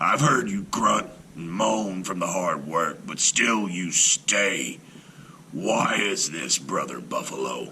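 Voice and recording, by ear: A man growls slowly in a put-on character voice, low in pitch yet bright and sharp in tone. Faint noise sits in the background. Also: lively intonation.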